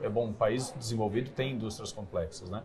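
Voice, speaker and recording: Noticeable background noise surrounds a man speaking at a moderate pace in a medium pitch. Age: 40s. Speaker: company CEO. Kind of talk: interview. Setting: studio.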